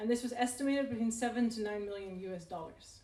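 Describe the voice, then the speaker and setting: A woman in a non-native accent, somewhat breathy and fairly high-pitched, very fast in pace with fairly even intonation. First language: not English. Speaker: researcher on inequality. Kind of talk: talk at a public event. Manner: casual, hesitant with fillers.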